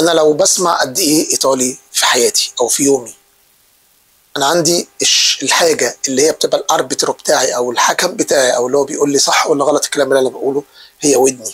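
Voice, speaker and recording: A man with an Egyptian accent talks at a fairly quick pace. His loudness stays very even. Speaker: Italian language teacher. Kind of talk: tutorial. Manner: casual, repetitive with fillers.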